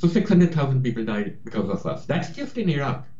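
With an American accent, a man speaks at a moderate pace with very wide pitch swings and audible room echo. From India, then Queens, New York. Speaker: author and journalist. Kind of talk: interview.

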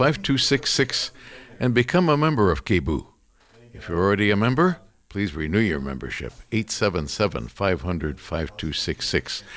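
A man with a fairly low pitch talks at a very slow pace, his voice showing vocal fry and very wide pitch swings. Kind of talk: radio pledge-drive announcer patter, repeating phone number and station promo.

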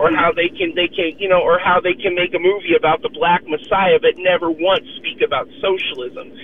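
A high-pitched man with lively intonation at a moderate pace, over noticeable background noise. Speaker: caller. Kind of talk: talk radio call-in commentary. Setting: phone call.

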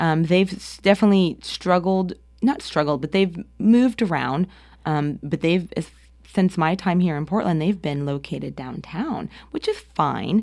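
On a very clean recording with a silent background, a woman with an American accent and a normal speaking voice talks at a moderate pace in a fairly low pitch with ordinary pitch variation. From US Northeast, New Jersey. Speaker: arts administrator. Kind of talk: interview. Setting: studio.

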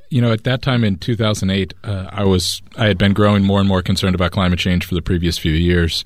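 A man with an American accent at a very fast pace, fairly low in pitch with ordinary pitch variation. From United States. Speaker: climate activist. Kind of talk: interview.

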